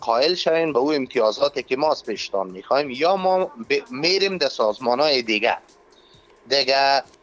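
A fairly quick pace, faint music behind it, and very even loudness throughout. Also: man, fairly high pitch for a man, lively intonation. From Afghanistan. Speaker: MMA organization operations head; guest or talk show host. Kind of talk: phone interview debate. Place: studio. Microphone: lapel.

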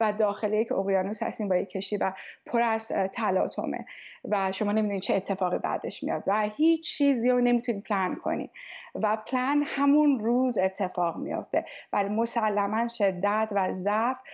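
A woman with a plain, everyday voice talks at a moderate pace and a fairly high pitch against a quiet background. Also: ordinary pitch variation, very even loudness. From Tehran, Iran. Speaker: music teacher. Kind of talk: interview. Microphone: earbuds.

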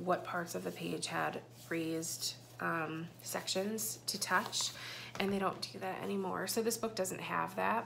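Over light background noise, a woman with a fairly low pitch speaks at a moderate pace. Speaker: parent vlogger. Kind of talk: casual vlog chat. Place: home room. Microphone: phone near.

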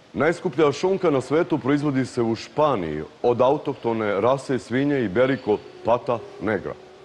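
A man speaks at a moderate pace with lively intonation. Light background noise can be heard. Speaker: TV presenter. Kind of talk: TV presenter intro. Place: garden. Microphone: lapel.

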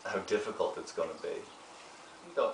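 A man speaks with an Irish accent. Light background noise and audible room echo surround him. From Ireland. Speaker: actor and meditation therapist. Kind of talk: interview answer. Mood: warm, earnest, gentle. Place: home room.

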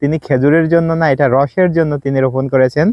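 A man has a plain, everyday voice at a fairly high pitch. His intonation stays fairly even. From Bangladesh, Madaripur district. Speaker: agriculture advisor and video presenter. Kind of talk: on-site explainer video to camera. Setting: outdoors in a date palm orchard.

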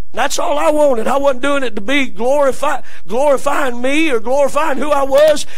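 The speaker has a Southern US accent and an animated tone. The pace is moderate and the loudness stays very even. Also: man, extremely high pitch for a man. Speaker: preacher. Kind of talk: sermon in a church service, preacher in full flow, call-and-response with congregation. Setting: church. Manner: animated, exhorting, rallying the congregation to say amen. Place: church. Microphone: podium.

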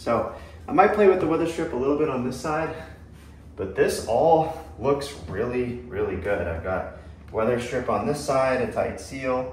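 Background noise is light, and audible room echo is present. A man speaks at a moderate pace. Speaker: ham radio hobbyist. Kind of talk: tutorial. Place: home room. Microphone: camera far.

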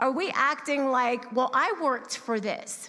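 A woman projects her voice, raising it. It sits high in pitch. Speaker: church member sharing testimony on giving. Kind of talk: testimony, personal talk to congregation. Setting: church service. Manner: conversational, candid. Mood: sincere, reflective. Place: church. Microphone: handheld.

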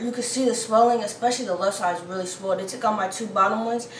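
A woman talks at a very fast pace. Light background noise and audible room echo are present. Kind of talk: casual vlog chat. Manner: swollen-jaw speech after tooth extraction. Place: kitchen. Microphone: phone near.

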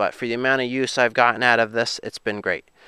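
A man speaks at a very fast pace in a bright, sharp tone. The sound is dry with no echo, over a quiet background. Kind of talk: casual vlog chat. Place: open country. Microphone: phone near.

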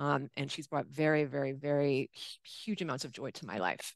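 A woman is heard against a quiet background. The sound is dry, with no echo. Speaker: host of an online XR meetup. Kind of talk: casual, enthusiastic. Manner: fast talker. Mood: warm, affectionate. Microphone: webcam.

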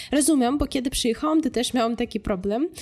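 Her voice has a dark, mellow tone and lively intonation. This woman is heard on a very clean recording with a silent background. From Ukraine. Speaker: vlogger. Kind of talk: casual talk to camera.

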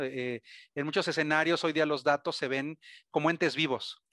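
A man speaks at a fairly high pitch with fairly even intonation. The sound is dry with no echo, over a quiet background. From Mexico. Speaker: cybersecurity vendor presenter; presenter. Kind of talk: webinar presentation. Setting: webcast. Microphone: video call.

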